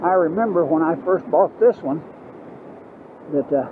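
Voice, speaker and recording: A man with a Southern US accent talks at a moderate pace in a fairly high pitch, with ordinary pitch variation, a dry sound with no echo and light background noise. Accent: Southern US (Georgia). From US South, Georgia. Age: 80s+. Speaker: motorcycle vlogger. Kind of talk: casual ride-along vlog monologue. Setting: outdoors riding a motorbike. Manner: halting, many fillers. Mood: relaxed, reflective. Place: motorbike.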